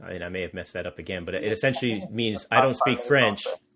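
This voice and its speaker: With an American accent, a man is talking. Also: quiet background. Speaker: podcast host, developer evangelist. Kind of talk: casual interview chat. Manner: fast.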